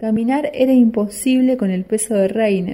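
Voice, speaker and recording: A woman speaks at a fairly slow pace in a medium pitch. Her tone is dark, mellow and somewhat breathy, with fairly even intonation. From Argentina, Rosario. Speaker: listener contributing own short story. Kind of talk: reading aloud own short story.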